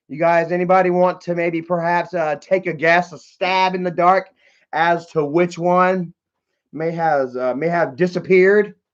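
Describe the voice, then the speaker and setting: Fairly even intonation marks a man's high-pitched voice at a moderate pace. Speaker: livestreamer. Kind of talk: casual live stream chat. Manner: stuttering.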